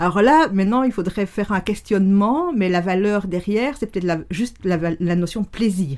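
A woman's medium-pitched voice shows ordinary pitch variation and keeps a moderate pace. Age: 50s. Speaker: neuroscience and NLP coach. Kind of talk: casual interview conversation. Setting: in the host's home, sitting on a sofa in the same room.

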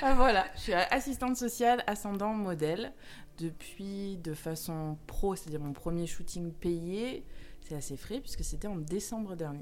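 A woman talks at a fairly slow pace with lively intonation. Room echo is audible. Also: medium pitch for a woman. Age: 30s. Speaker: social worker and model. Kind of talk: casual chat.

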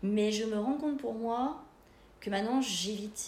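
A woman's fairly high, somewhat breathy voice at a moderate pace, with ordinary pitch variation and audible room echo. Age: 40s. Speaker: bereaved daughter sharing her experience. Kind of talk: podcast interview, personal testimony.

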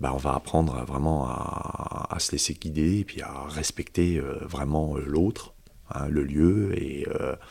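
A man's very deep, low voice carries a dark, mellow tone, vocal fry and ordinary pitch variation. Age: 50s. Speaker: karate instructor. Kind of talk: casual chat.

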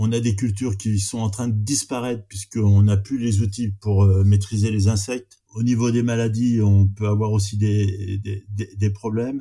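A man speaks with flat, monotone intonation at a fairly slow pace. His fairly low voice is somewhat breathy, with a dark, mellow tone. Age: 50s. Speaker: arable farmer. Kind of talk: interview. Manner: halting.

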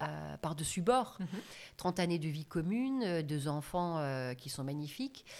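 A woman with a very deep, low pitch swings very widely in pitch, on a very clean recording with a silent background. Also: fairly slow pace. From Germany. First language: German (speaking French). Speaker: business trainer and coach. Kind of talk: interview.

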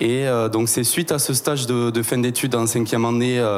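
Over noticeable background noise, a man talks in a medium pitch. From southwestern France, Tarn. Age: 20s. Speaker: cooperative sales and promotion staff. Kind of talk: interview.

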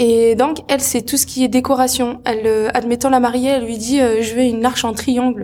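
A woman's high, monotone, flat voice with a dark, mellow tone, at a moderate pace with hardly any pauses. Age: 20s. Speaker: henna artist and entrepreneur. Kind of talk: interview.

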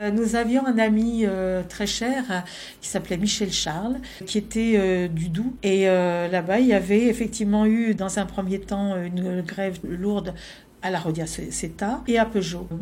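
In a dark, mellow, somewhat breathy voice of medium pitch, a woman speaks at a fairly slow pace with fairly even intonation, and the room echo is audible. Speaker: former activist. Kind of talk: interview testimony.

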